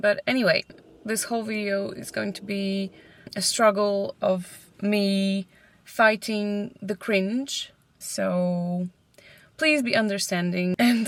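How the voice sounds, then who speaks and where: A woman with a Polish accent speaks at a medium pitch and a very slow pace. Her intonation is fairly even, with long, frequent pauses. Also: big swings in loudness. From Poland. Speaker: vlogger. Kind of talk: casual chat. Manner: halting.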